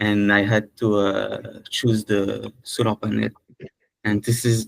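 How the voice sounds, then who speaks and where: Very slow and at very even loudness, a man speaks with a French accent in a dry, close sound with no echo. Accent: French, non-native English. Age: 20s. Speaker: prospective franchise owner. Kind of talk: video call introduction. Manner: halting.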